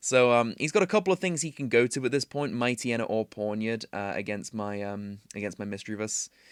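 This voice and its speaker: Over a silent background in a very clean, dry, close recording with no echo, a man with a British accent speaks at a medium pitch with ordinary variation, at a fairly quick pace with hardly any pauses. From Britain. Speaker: gaming commentator. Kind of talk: gameplay commentary. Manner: casual, filler-heavy.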